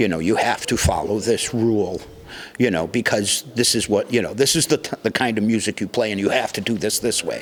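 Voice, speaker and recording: A man at a medium pitch talks at a fairly quick pace with ordinary pitch variation amid noticeable background noise. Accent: American. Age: 60s. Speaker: music venue doorman and musician. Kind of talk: casual interview.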